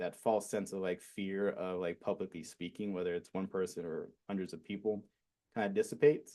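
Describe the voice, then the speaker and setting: A man with an American accent speaks at a moderate pace in a dark, mellow tone. His pitch is fairly low and his intonation fairly even. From Arizona, US. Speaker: fitness and wellness coach. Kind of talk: casual interview. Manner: monotone.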